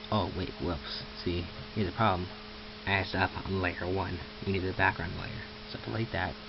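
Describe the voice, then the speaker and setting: Speaking at a moderate pace with long, frequent pauses, a man with a very deep, low pitch and ordinary pitch variation is heard amid audible room echo and noticeable background noise. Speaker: amateur tutorial maker. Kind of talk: screen-recorded software tutorial. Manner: casual, hesitant with self-corrections.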